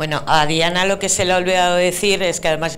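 With light background noise behind her, a woman talks at a fairly quick pace with ordinary pitch variation. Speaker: event host. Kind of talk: event presenting. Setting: stage with audience. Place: hall. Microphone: handheld.

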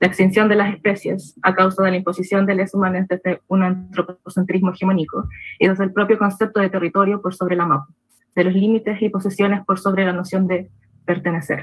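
In a quiet background, a somewhat breathy woman speaks at a fairly quick pace with monotone, flat intonation. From Temuco, Chile; Chile. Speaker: Mapuche researcher; presenter. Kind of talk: conference presentation. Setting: video call. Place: home room. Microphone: webcam.

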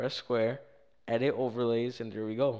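A man's medium-pitched voice, fairly slow and fairly even in intonation. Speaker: gaming YouTuber. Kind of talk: casual screen-recorded tutorial narration. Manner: casual, slangy, hesitant with fillers.

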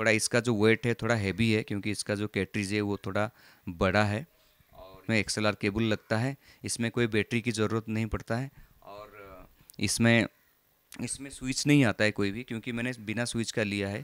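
In a normal speaking voice, a man talks at a fairly low pitch with fairly even intonation, the sound dry with no echo against a quiet background. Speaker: tech reviewer. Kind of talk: product review demo. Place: home room. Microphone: handheld.

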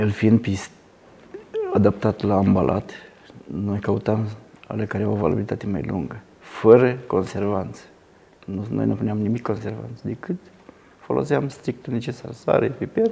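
Speaking at a fairly slow pace, the man has a fairly low pitch. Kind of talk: interview answer. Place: cafe. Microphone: lapel.

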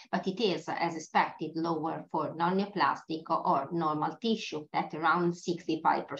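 Speaking at a moderate pace with hardly any pauses, a woman with an Italian accent has a fairly low voice. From Italy. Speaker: pathologist. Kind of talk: lecture. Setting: webinar. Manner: halting.

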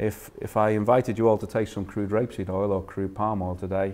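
A man with a Liverpool accent speaks at a fairly quick pace in a very deep, low pitch, his tone dark and mellow and his intonation fairly even. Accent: Liverpool (Scouse). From northern England, Liverpool. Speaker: food industry innovation manager. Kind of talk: lecture. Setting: stage with audience. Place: meeting room.

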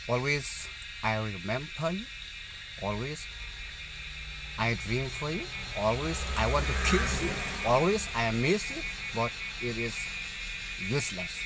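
Music plays in the background as a man talks at a fairly slow pace with long, frequent pauses, the sound dry with no echo. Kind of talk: one side of a phone conversation. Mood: wistful, slightly reproachful. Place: car.

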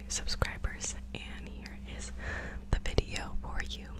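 A woman's voice, dry with no echo, over loud background noise. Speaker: ASMR creator. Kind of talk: ASMR video. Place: home room. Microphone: studio mic.

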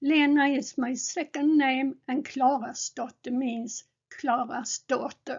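Intonation stays fairly even as the words come at a very slow pace. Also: woman. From Sweden. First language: Swedish. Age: 70s. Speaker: gaming streamer. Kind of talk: narrated photo slideshow. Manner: halting.

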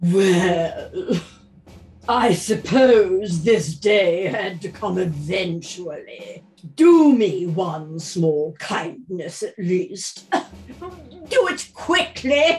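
Using a put-on character voice, a woman speaks at a medium pitch and a very slow pace with lively intonation. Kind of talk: audio drama reading. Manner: dry, sardonic.

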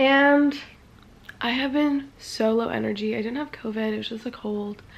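The intonation here stays fairly even. The speaker is a woman. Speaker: vlogger. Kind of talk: casual vlog chat. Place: home room. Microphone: phone near.

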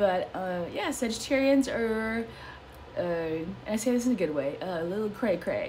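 A woman with an American accent, lively intonation and a moderate pace, over light background noise. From US Midwest, Chicago. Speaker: psychic entertainer. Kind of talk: casual horoscope talk. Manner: hesitant, many fillers. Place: home room. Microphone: phone near.

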